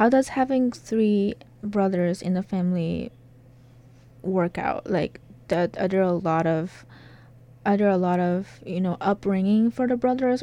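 A woman's dark, mellow voice at medium pitch, with ordinary pitch variation and a moderate pace. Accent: Chinese. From China. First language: Chinese. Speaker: graduate student interviewer. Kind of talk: interview. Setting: recording booth. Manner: halting, rephrases questions.

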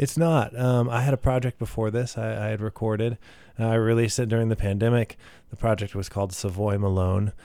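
A man with an American accent and a dark, mellow tone talks at medium pitch on a very clean recording with a silent background. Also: fairly even intonation, fairly quick pace. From Texas, Midland and Katy. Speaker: singer-songwriter. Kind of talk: casual interview. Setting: radio studio.

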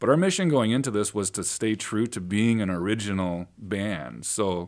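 The speaker has an American accent. The recording is very clean with a silent background. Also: man. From Northern Illinois (Sandwich). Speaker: singer-songwriter, band leader. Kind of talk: radio interview. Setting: radio studio.

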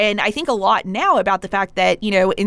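A plain, everyday voice with an American accent, at a fairly quick pace. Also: woman. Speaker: public radio host. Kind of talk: radio interview. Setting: studio.

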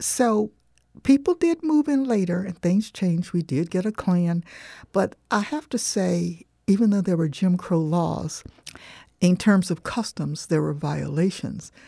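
Someone with an American accent speaks at a fairly slow pace in a dark, mellow, somewhat breathy tone with lively intonation, on a very clean recording with a silent background. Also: woman, medium pitch for a woman. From US South, southwest Florida (Punta Gorda). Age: 70s. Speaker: author and lecturer. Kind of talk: interview. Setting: studio.

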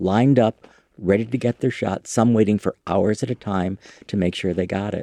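Dark and mellow in tone, a man with an American accent speaks at a fairly quick pace in a medium pitch with ordinary variation, in a dry, close sound with no echo. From US Midwest, Chicago. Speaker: author, sex educator and activist. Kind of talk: interview.

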